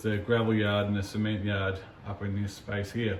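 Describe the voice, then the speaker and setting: In a room with audible echo, a man talks at a medium pitch. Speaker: model railway hobbyist vlogger. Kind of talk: casual video walkthrough.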